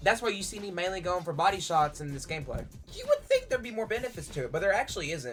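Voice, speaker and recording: Music plays in the background as the speaker goes at a very fast pace. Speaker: gaming YouTuber. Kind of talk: gameplay commentary. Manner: casual, joking.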